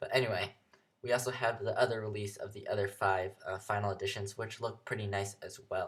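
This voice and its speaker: A man speaks at a fairly quick pace with a fairly low pitch, fairly even intonation and a somewhat breathy sound. The recording is very clean with a silent background. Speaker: gaming youtuber. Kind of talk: game review commentary. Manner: hesitant, many fillers; casual.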